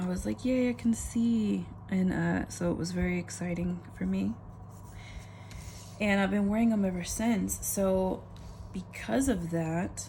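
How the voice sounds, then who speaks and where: A woman at a fairly slow pace, with long, frequent pauses and audible room echo. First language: not English. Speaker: planner vlogger. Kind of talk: casual chat.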